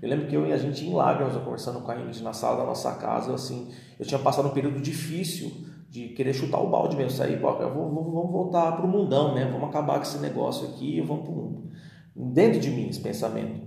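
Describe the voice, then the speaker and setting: Noticeable background noise and audible room echo surround a man who rattles along at a very fast pace. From Brazil, São Paulo. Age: 30s. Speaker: pastor. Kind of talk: podcast interview, testimony and teaching.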